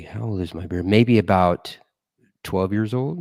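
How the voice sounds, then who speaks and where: This is an ordinary speaking voice with ordinary pitch variation at a fairly slow pace. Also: man. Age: 40s. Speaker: podcast co-host. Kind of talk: casual chat.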